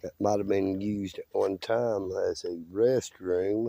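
In a dry, close sound with no echo, a man talks slowly at a fairly low pitch, with vocal fry, a dark, mellow tone and fairly even intonation.

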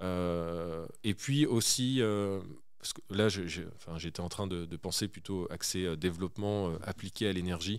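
Speaking very slowly, a man uses a very deep, low pitch that moves with ordinary variation. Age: 30s. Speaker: start-up CEO. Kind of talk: interview. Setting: studio. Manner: halting.

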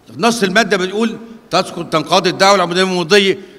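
Raising and projecting his voice, a man speaks in a bright, sharp tone. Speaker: lecturer at lawyers' institute. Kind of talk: lecture. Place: hall. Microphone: podium.

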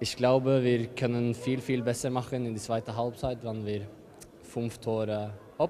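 A man in monotone, flat intonation, with light background noise. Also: fairly slow pace. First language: not German (speaking German). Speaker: handball player. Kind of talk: interview. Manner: halting. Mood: calm, satisfied after win. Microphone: handheld.

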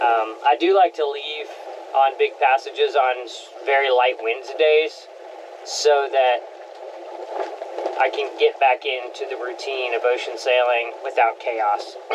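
A man talks at a fairly slow pace, with long, frequent pauses. Noticeable background noise runs under his voice. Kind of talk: casual vlog chat. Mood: relaxed, content. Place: boat. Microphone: camera far.

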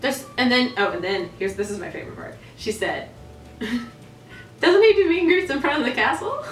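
A woman speaks at a high pitch and moderate pace, with very wide pitch swings and big swings in loudness. Audible room echo and light background noise are present. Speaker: theme park performer and dancer; channel host. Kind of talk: casual talk to camera. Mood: amused, animated. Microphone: camera far.

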